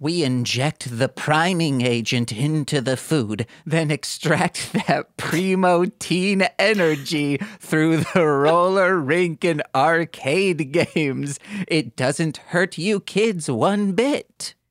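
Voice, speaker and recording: Put-on character voice at a middle pitch unfolds at a very slow pace with hardly any pauses. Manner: creepy then sweet.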